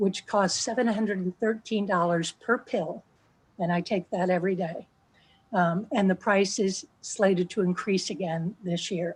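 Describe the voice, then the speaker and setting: Her American accent comes through in a somewhat breathy woman's voice with fairly even intonation. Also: medium pitch for a woman, moderate pace, quiet background. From New Jersey. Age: 60s. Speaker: patient sharing her story. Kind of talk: testimony. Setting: video call.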